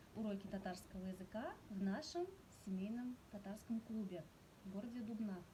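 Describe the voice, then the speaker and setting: A woman with a Tatar accent, medium in pitch, at a moderate pace with ordinary pitch variation, over noticeable background noise. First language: Tatar (speaking Russian). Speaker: Tatar language teacher. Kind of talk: presentation. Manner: hesitant with filler sounds.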